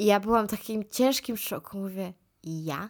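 With lively intonation, a woman talks in a normal speaking voice at a medium pitch. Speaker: podcaster. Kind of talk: casual solo monologue. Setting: indoors, moved in from outside.

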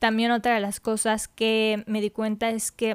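A woman speaks fairly slowly at a fairly high pitch. The recording is very clean and dry, close with no echo, and the background is silent. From Mexico. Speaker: podcast host. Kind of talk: podcast monologue. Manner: casual, hesitant fillers.

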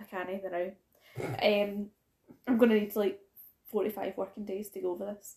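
At a moderate pace and medium pitch, a woman speaks with fairly even intonation and big swings in loudness. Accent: Scottish. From Scotland. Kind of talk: casual chat.

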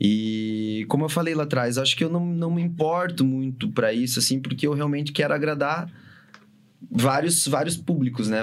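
Audible room echo around a man, his pace moderate and his pitch variation ordinary. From Brazil, Paraná (São José dos Pinhais). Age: 30s. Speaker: DJ and music producer. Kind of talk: casual chat.

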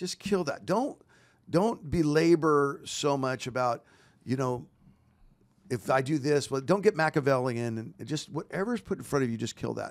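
Lively intonation marks this man's unremarkable speaking voice. He keeps a moderate pace. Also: fairly high pitch for a man. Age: 50s. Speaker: pastor. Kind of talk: casual chat. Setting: studio.

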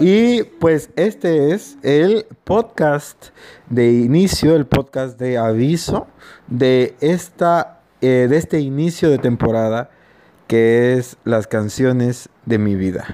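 Very slowly, a man speaks at a medium pitch with a dark, mellow tone and lively intonation. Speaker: podcast host. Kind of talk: casual chat. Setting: informal gathering with music, party. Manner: halting, many fillers.

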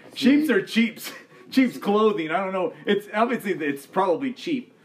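A high-pitched man at a moderate pace with lively intonation, amid noticeable background noise. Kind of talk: casual chat. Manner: halting, stumbling over words.

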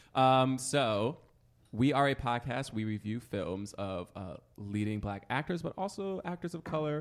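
This man has an ordinary speaking voice with an American accent, talking fairly slowly at a medium pitch with lively intonation against a quiet background. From New York area. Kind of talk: casual chat.

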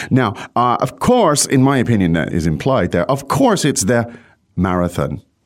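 This man's medium-pitched voice has very wide pitch swings and vocal fry, with very even loudness throughout. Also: moderate pace. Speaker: language teacher, podcast host. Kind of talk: language lesson. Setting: studio.

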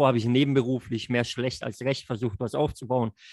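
Dry and close with no echo, the recording has a man speaking at a medium pitch with fairly even intonation. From Lake Constance region, southern Germany. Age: 30s. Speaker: network marketer. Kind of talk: podcast interview. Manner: hesitant, many fillers.

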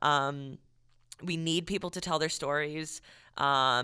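On a very clean recording with a silent background, a woman's raspy voice has a bright, sharp tone and a very deep, low pitch. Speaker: podcast co-host, service industry worker. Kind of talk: casual chat podcast. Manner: not soft-spoken, outgoing.

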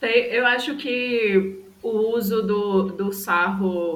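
A woman's medium-pitched voice comes through audible room echo and noticeable background noise. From Brazil, Recife (Pernambuco). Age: 20s. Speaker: photographer and podcast co-host. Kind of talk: casual chat.

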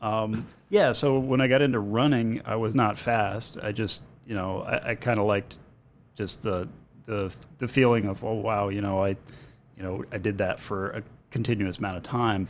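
With a plain, everyday voice, a man speaks at a fairly low pitch and a moderate pace, keeping his intonation fairly even. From New England (born in Boston, grew up partly in Maine). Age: 40s. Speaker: amateur marathon runner. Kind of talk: casual chat.

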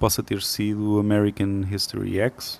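This man speaks at a fairly low pitch. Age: 30s. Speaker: composer. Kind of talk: interview.

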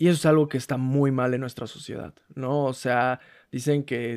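A man with a plain, everyday voice speaks at medium pitch, with a dry, close sound with no echo. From rural Mexico. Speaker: podcast co-host. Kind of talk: casual chat.

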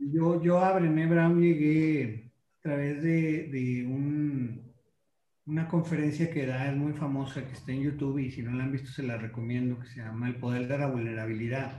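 Here a man speaks at a moderate pace with fairly even intonation and a fairly high pitch. His dark, mellow, somewhat breathy tone carries audible room echo. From Mexico, La Laguna region (Coahuila/Durango). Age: 40s. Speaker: marketing consultant. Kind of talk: casual interview chat. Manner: halting, with fillers and repetitions.

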